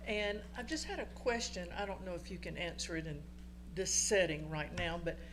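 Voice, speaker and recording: A moderate pace, with noticeable background noise and audible room echo. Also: woman. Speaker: resident speaking at public comment. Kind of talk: public comment at council meeting. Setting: council chamber. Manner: loud.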